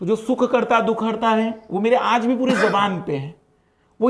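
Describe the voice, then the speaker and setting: This is a man speaking. His pitch is extremely high. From Maharashtra, India. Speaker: exam coaching teacher. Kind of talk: casual chat.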